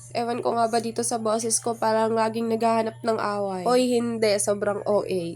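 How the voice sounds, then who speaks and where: Over music in the background, a woman talks at a fairly quick pace with hardly any pauses, in a fairly high pitch and a monotone, flat intonation. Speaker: vlogger. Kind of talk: vlog narration. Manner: casual, chatty.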